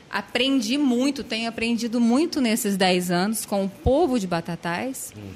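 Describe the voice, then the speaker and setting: A woman with an ordinary speaking voice goes at a fairly slow pace, her intonation lively. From Franca, São Paulo state, Brazil. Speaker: social worker. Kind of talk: casual interview.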